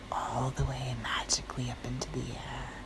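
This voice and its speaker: A soft-spoken woman whispers at a fairly slow pace over noticeable background noise. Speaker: fitness trainer. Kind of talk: bedtime story. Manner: whispered, soft.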